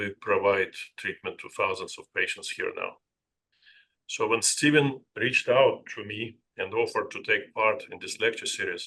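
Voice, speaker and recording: A man with a non-native accent at a moderate pace, his loudness swinging widely. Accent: noticeable foreign. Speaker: psychiatrist. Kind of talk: lecture. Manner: halting, with many filler sounds.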